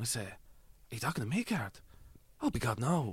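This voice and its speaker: A man talks at a fairly quick pace. His pitch swings very widely. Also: very clean recording, silent background. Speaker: actor. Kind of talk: comedic interview chat.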